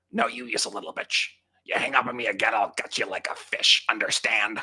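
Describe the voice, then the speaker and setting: Raspy and menacing in tone, a put-on character voice runs at a fairly quick pace. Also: man, medium pitch for a man. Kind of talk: phone-call taunting. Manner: menacing, threatening.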